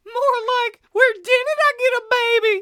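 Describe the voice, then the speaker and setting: In a squeaky, cartoonish character voice, the speaker talks at a moderate pace with an extremely high pitch. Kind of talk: comic overacting. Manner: taunting, obnoxious.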